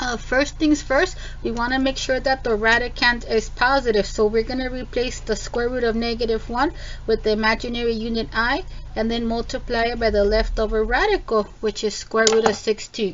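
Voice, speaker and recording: A woman at a fairly high pitch and a moderate pace, with fairly even intonation over noticeable background noise. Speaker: math teacher. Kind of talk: tutorial. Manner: casual with many fillers.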